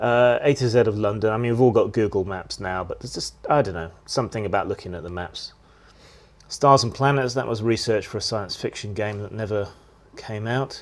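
A man's unremarkable speaking voice, fairly low in pitch, with ordinary pitch variation and a fairly quick pace. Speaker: channel host. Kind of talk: casual vlog chat. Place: home room. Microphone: phone near.

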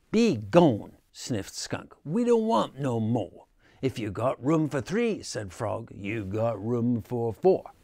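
The clip consists of plain reading aloud.

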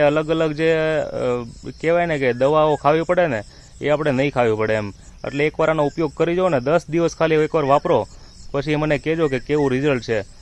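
An unremarkable speaking voice from a man, fairly high in pitch with fairly even intonation. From Gujarat, India (Amreli district, Saurashtra). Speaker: farmer and video creator. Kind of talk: casual informational vlog.

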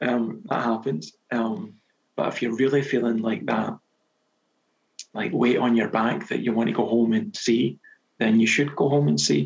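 A man with vocal fry and very wide pitch swings, at a moderate pace broken by long, frequent pauses. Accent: Scottish. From Scotland. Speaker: novelist. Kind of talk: podcast interview answer. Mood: relaxed, reflective. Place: home room. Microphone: headset.

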